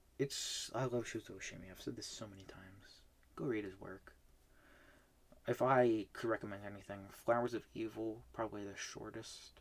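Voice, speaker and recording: A man with an unremarkable speaking voice talks at a moderate pace, fairly low and fairly even in intonation. His loudness swings widely. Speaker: manga reading vlogger. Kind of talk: casual monologue review. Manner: filler-heavy, with false starts.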